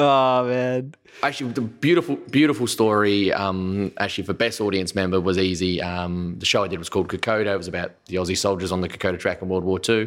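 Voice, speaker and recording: Racing along at a very fast pace with hardly any pauses, a man speaks at a fairly low pitch with ordinary pitch variation. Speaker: comedian. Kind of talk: casual chat.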